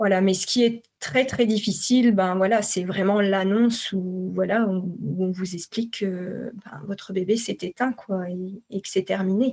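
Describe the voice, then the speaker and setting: At a fairly slow pace, a woman uses an ordinary speaking voice with medium pitch and fairly even intonation. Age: 40s. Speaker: psycho-body therapist for perinatal grief. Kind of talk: personal testimony.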